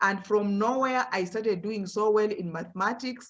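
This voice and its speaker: A woman with a Kenyan accent speaks at a medium pitch. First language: Luhya. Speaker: professor. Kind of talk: motivational talk to students.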